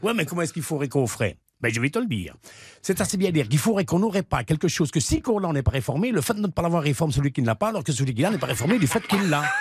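This man's pitch is fairly high, and it swings very widely. He talks at a very fast pace with very even loudness. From Belgium. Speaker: comedian. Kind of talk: joke telling.

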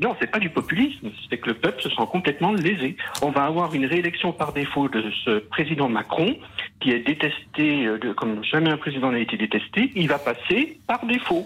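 Over music in the background, a man with a fairly high pitch talks at a moderate pace, his pitch swinging very widely while his loudness stays very even. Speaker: caller, jurist. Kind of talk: phone call, political opinion. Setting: phone call.

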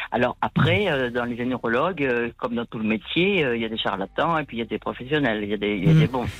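In a southern French accent, a woman with a very deep, low pitch talks at a very fast pace with lively intonation. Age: 60s. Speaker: caller. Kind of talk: testimony. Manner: halting.

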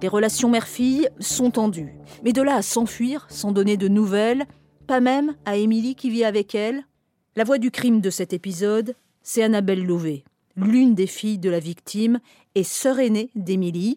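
A woman speaks at a moderate pace and fairly high pitch, with ordinary pitch variation, very even loudness and a dark, mellow tone, the sound dry and close with no echo. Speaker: radio podcast host. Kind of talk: scripted narration.

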